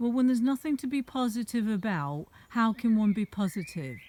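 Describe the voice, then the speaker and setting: Speaking with an American accent, a woman has a dark, mellow tone. She talks at a moderate pace with lively intonation. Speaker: vlogger. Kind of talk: rant. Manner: animated.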